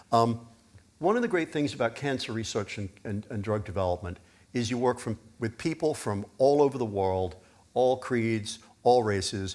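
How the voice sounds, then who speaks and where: Very clean recording, silent background, a normal speaking voice. A man speaks at a moderate pace in a medium pitch. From US Northeast (Pennsylvania), born in UK. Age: 60s. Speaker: biotech executive. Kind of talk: fireside chat at conference.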